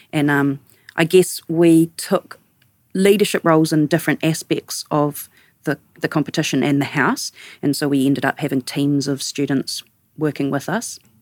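With a New Zealand accent, a woman speaks at a very deep, low pitch and a moderate pace, her intonation fairly even and the sound dry and close with no echo. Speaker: architect, studio co-founder. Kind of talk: casual interview conversation.

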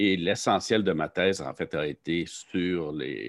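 Very deep and low in pitch, a man speaks with vocal fry and ordinary pitch variation. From Quebec, Saint-Jean-sur-Richelieu. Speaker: professor, limnology researcher. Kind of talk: interview. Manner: halting, many fillers.

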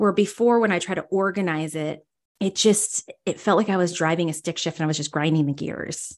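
A woman with a plain, everyday voice, fairly low in pitch with ordinary pitch variation, at a fairly quick pace over a quiet background. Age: 40s. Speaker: spiritual medium and energy healer. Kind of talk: casual chat.

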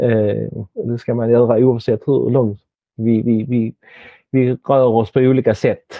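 This man's medium-pitched voice moves at a fairly slow pace with monotone, flat intonation. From Helsingborg, southern Sweden. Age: 50s. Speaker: stroke survivor, former actor and entertainer. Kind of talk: casual interview. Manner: halting, many repetitions.

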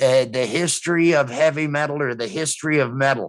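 A man with an American accent speaks at a fairly high pitch. He has an unremarkable speaking voice with ordinary pitch variation. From US Midwest, Rockford, Illinois. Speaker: streaming show co-host. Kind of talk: casual chat.

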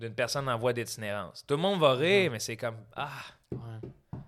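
A man's bright, sharp voice at medium pitch, in a Quebec accent, with ordinary pitch variation, on a very clean recording with a silent background. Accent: Québécois French. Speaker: comedian. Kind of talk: casual chat.

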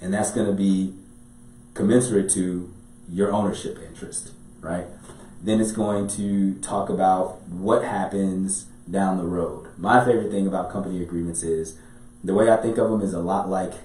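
Somewhat breathy and dark, mellow in tone, a man with an American accent speaks at a moderate pace in a fairly low pitch with monotone, flat intonation, with audible room echo. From Chicago. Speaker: business and real estate attorney. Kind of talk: podcast interview. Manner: talkative.

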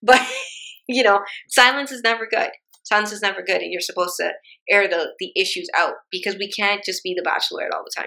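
At a fairly quick pace, a woman talks in an ordinary speaking voice that is fairly high, with ordinary pitch variation. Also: big swings in loudness. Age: 30s. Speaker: podcast host. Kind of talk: casual chat.

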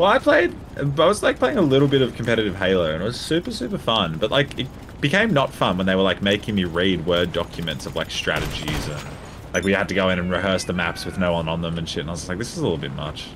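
Very deep and low, a man's voice moves at a very fast pace. His intonation is lively, and the background noise is noticeable. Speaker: gaming YouTuber and streamer. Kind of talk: casual chat, podcast.

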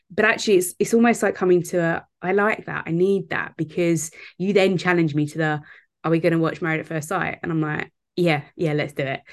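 A woman speaks at a fairly quick pace in an ordinary speaking voice. Her intonation is fairly even, and the background is quiet. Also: fairly low pitch for a woman. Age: 30s. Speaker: business strategist and mentor. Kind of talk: casual chat.

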